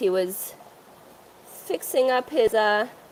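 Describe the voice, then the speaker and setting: Noticeable background noise sits behind a woman speaking with a French accent. Her voice is fairly high and swings very widely in pitch. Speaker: aquarium store owner. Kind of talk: live stream tour. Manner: casual, halting.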